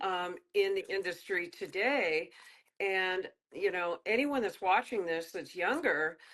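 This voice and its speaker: Against a quiet background, an ordinary speaking voice moves at a fairly slow pace with lively intonation. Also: woman. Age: 60s. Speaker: fitness trainer and author. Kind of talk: interview.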